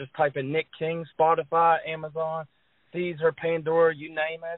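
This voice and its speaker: Monotone and flat, a man with an American accent speaks at a fairly high pitch. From West Virginia. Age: 20s. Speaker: drummer. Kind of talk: interview.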